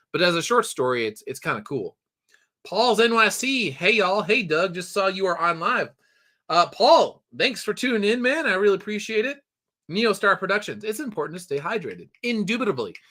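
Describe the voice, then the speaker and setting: A high-pitched man uses a raised, projected voice with a bright, sharp tone and lively intonation at a fairly quick pace. The recording is very clean, with a silent background. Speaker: livestream host and story writer. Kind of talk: casual live news commentary. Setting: home livestream. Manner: casual, conversational with fillers.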